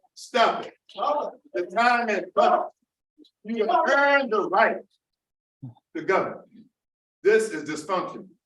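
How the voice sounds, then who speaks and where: A bright, sharp tone at a very slow pace, with long, frequent pauses and very wide pitch swings. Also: man, extremely high pitch for a man. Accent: American. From Charleston, South Carolina. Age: 70s. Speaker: public commenter at school board meeting. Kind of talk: public comment speech. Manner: impassioned, forceful.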